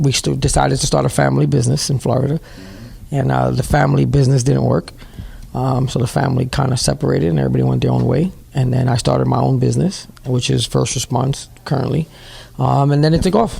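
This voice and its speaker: Over noticeable background noise, a man with a New York accent talks at a very fast pace with very even loudness. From New York City, Bronx. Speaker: CEO of a training school, paramedic. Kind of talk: interview. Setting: at his school building.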